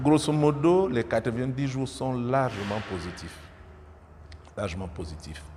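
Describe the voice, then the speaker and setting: A man's somewhat breathy voice has lively intonation. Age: 60s. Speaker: politician. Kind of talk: interview. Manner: hesitant, many filler sounds.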